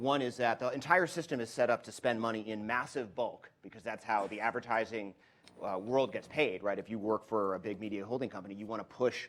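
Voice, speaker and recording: At a fairly quick pace, a man talks in a medium pitch with ordinary pitch variation. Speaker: venture capital investor. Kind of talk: panel discussion. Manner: fast.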